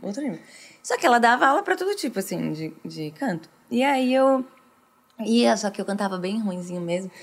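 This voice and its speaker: Fairly quick, a woman talks at fairly high pitch. Her speech has long, frequent pauses. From Brazil, interior of São Paulo state (Franca). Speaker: worship singer. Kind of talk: casual chat.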